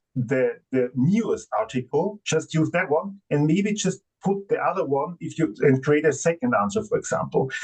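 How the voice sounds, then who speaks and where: With lively intonation, a man speaks in a non-native accent. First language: not English. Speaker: AI software company representative. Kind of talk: conference panel discussion. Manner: halting, many fillers.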